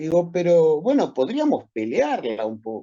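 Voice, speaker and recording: With a Rioplatense accent, a man talks at a fairly slow pace and a fairly high pitch, his voice making very wide pitch swings. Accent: Argentine Rioplatense Spanish. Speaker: medical professor. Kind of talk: lecture. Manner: animated storytelling.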